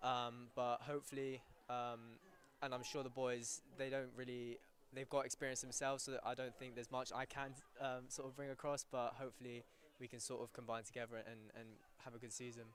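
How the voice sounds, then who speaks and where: Fairly quick, monotone delivery from a man at medium pitch, flat in intonation. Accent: British. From England. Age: 19. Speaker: university soccer player. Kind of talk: live interview during broadcast.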